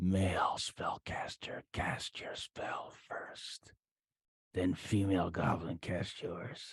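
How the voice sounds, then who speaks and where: A man whispers in a put-on character voice. He goes very slowly, and the sound is dry and close with no echo. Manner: whispering.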